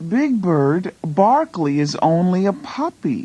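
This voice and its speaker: A put-on character voice, female-sounding and medium in pitch, at a fairly slow pace. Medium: read story.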